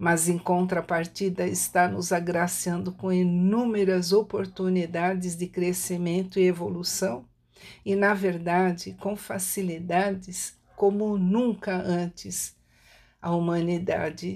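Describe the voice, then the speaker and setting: A woman's fairly low voice, monotone and flat, at a very slow pace. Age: 60s. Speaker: writer and holistic therapist. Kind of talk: prepared reflective talk. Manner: fluent.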